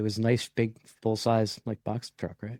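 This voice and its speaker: The man's voice has a dark, mellow tone. The sound is dry and close, without echo. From Nova Scotia, Canada. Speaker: podcast host, construction worker. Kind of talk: casual chat. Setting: job trailer, remote recording.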